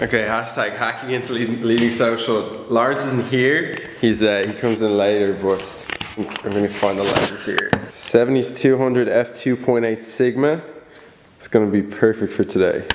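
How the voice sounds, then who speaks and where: With noticeable background noise behind him, a medium-pitched man keeps a moderate pace and fairly even intonation. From Ireland. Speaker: vlogger. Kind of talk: vlog.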